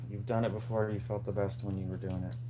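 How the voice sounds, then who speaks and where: A man mumbles quietly in a flat monotone, with audible room echo. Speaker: DIY maker livestreamer. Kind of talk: casual live stream chat while working. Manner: mumbling.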